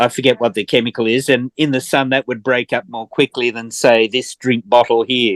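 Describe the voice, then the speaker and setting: A man speaks at medium pitch in a monotone, flat intonation, at a fairly quick pace with hardly any pauses. The sound is dry and close, with no echo. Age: 70s. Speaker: permaculture course participant. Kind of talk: online class discussion. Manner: halting.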